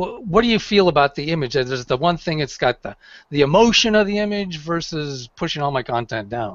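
A man at a fairly quick pace with very wide pitch swings, dry sound with no echo and a quiet background. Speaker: real estate agent; guest. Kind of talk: panel discussion. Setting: video call. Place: home room. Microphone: headset.

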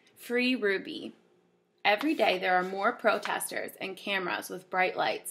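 Speaking at a fairly slow pace, a woman uses a bright, sharp, animated tone with lively intonation. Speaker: teacher reading to children. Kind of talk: reading aloud. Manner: animated, expressive storytelling.

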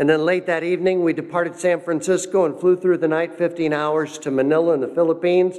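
This man talks at a very fast pace with hardly any pauses, his high voice flat and monotone against a quiet background. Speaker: pastor giving missions report; speaker. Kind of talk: church missions presentation. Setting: church. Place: church. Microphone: podium.

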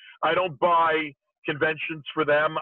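Recorded against a quiet background, a man's voice comes through dry with no echo. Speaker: remote guest. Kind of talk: interview answer. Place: car. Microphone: video call.

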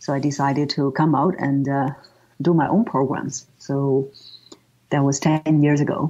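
A woman's very deep, low voice with a dark, mellow tone, in a Chinese accent, with fairly even intonation, a moderate pace and very even loudness. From northern China, Tianjin. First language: Mandarin Chinese. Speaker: voice coach. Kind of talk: interview.

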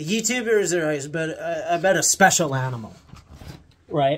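A man with an American accent speaks at a high pitch. His pitch varies in an ordinary way. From Montana, US. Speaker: YouTuber. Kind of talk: casual rant to camera. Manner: animated, sarcastic. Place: home room. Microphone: phone near.

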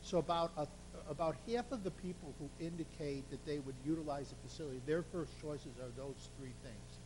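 A man talking at a fairly quick pace amid audible room echo. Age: 60s. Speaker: survey consultant presenting results. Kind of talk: presentation to city council.

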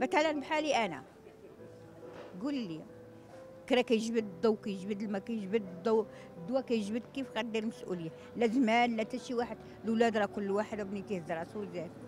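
With clear music in the background and a dry sound with no echo, a woman at a fairly high pitch talks at a fairly quick pace but leaves long, frequent pauses. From Morocco. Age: 70s. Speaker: elderly street beggar; interviewee. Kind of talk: street interview testimony. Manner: emotional, halting. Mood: sorrowful, pleading. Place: street. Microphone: handheld.

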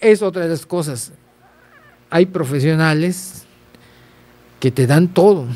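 A man's high-pitched voice at a very slow pace, with long, frequent pauses and ordinary pitch variation. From Yucatán, Mexico (Progreso); Yucatán, Mexico. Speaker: photographer; podcast guest. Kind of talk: interview. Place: studio. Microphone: studio mic.

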